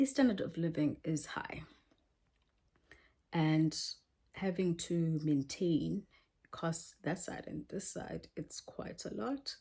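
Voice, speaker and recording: A woman speaks at a very slow pace with long, frequent pauses and lively intonation. Her tone is dark and mellow, and somewhat breathy. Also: fairly low pitch for a woman. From South Africa, Eastern Cape born. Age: 30s. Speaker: English teacher vlogger. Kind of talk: casual vlog chat. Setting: small apartment.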